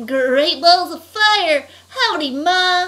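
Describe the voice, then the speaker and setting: Someone puts on a character voice at an extremely high pitch. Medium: read story. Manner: comic overacting.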